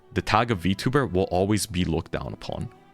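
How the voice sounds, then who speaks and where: There is music in the background. A man talks at a fairly quick pace. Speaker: VTuber streamer. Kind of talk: streamer rant to chat. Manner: animated.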